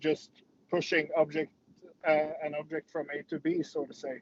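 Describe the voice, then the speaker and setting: In a Norwegian accent, a man talks at a moderate pace in a dry, close sound with no echo. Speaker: MMA fighter. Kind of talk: interview. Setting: video call from a parked car. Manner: halting.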